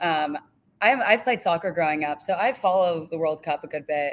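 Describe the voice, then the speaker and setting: An unremarkable speaking voice with ordinary pitch variation comes through in an American accent. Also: woman. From California. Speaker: student sports reporter. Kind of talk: casual interview chat. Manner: casual, filler-heavy.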